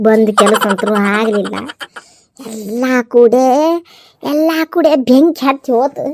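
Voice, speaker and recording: In a cartoonish character voice, a woman speaks very slowly at a fairly high pitch. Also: ordinary pitch variation. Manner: muttering, repetitive complaining.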